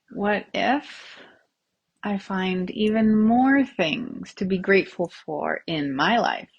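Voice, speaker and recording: With lively intonation and a somewhat breathy tone, the woman talks at a very slow pace. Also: medium pitch for a woman. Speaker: tapping and self-havening coach. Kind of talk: guided tapping session, live-stream style. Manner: upbeat, friendly, conversational.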